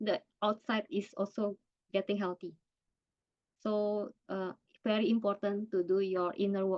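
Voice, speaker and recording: A woman with an Indonesian accent speaks at a fairly slow pace and a fairly high pitch. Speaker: cancer survivor and workshop speaker. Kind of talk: online workshop presentation. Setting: video call. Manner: halting.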